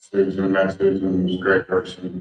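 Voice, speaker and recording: Soft-spoken, the man talks at a fairly low pitch. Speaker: infrastructure consultant. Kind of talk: public comment at meeting. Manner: halting.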